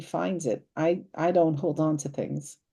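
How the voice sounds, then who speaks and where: A woman with an American accent, fairly low pitch, a dark, mellow tone and fairly even intonation. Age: 70s. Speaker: psychic medium guest. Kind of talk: interview. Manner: halting.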